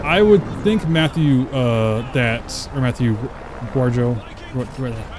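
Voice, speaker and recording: At a very slow pace, a man speaks at medium pitch with lively intonation and an American accent over noticeable background noise. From Texas. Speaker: streamer. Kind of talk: live gameplay stream chat. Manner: casual, filler-heavy.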